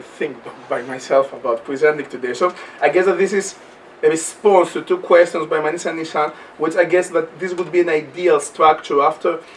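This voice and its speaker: A man with a Greek accent speaks against noticeable background noise. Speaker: anthropology lecturer. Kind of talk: panel talk. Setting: university event with audience. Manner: fast; halting, repetitive.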